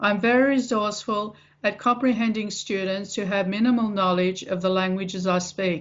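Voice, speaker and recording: A woman with an Australian accent talks at a moderate pace, her medium pitch held in fairly even intonation. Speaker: English teacher. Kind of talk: self-introduction read to camera.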